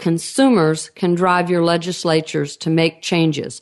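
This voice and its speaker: A woman's fairly low-pitched voice with a Texan accent, over a quiet background. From Texas. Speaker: radio host, biological dentistry executive director. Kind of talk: radio interview.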